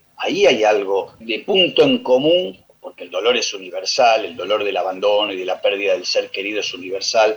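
Speaking in a Rioplatense accent, the voice swings widely in loudness with hardly any pauses. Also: man, moderate pace. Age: old. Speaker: radio tango program co-host. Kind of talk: radio music commentary.

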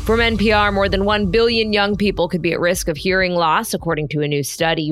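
A fairly low-pitched woman at a fairly quick pace with ordinary pitch variation. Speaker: news podcast co-host. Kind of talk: casual news rundown. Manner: loud.

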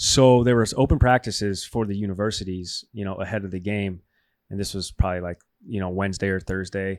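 A man with an unremarkable speaking voice talks at a fairly quick pace and fairly low pitch with fairly even intonation, on a very clean recording with a silent background. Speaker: co-host sports talk. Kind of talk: casual banter sports talk show. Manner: laughs often, joking.

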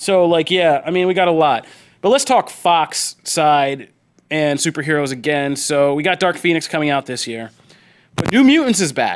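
In a very clean recording with a silent background, a man uses a normal speaking voice, fairly high in pitch with ordinary pitch variation. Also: moderate pace. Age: 30s. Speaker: podcast host. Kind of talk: casual chat.

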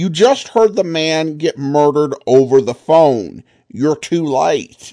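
A man's dark, mellow voice, fairly high in pitch, with lively intonation and a very slow pace. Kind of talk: podcast host intro, outro and listener comment reply. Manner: casual, conversational, hesitant with filler words.

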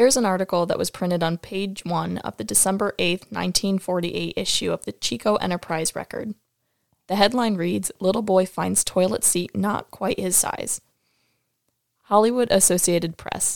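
In an American accent, a woman speaks in a plain, everyday voice at a medium pitch. Her pace is moderate and her pitch variation ordinary. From upstate New York. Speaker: co-host, former student. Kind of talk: reading aloud.

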